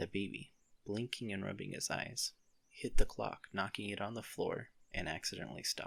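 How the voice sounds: This is a natural reading voice. It is delivered as a natural reading voice throughout.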